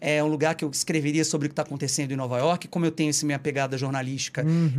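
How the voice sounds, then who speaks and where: This is a man speaking. His pitch is fairly high. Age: 30s. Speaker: journalist and tour guide. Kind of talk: casual chat. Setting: live stream, Brooklyn.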